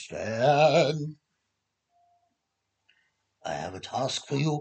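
This is a put-on character voice. It sounds raspy at a low-to-middle pitch. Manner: commanding, put-on character voice.

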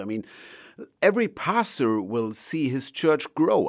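Someone with a German accent speaks at a fairly slow pace in a very clean recording with a silent background. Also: man. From Germany. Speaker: evangelist and ministry leader. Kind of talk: interview. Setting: studio.

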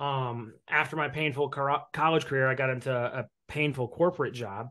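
A man with a US Midwestern accent speaks at a moderate pace, his pitch fairly high and his intonation fairly even. The background is quiet. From Indiana, US Midwest (Evansville). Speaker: mortgage broker and real estate investor. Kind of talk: casual interview.

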